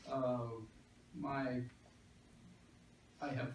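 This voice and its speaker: A man speaks very slowly with an American accent. There is audible room echo. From Texas. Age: 60s. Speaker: political candidate. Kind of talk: candidate forum speech. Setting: public library meeting with audience and microphone.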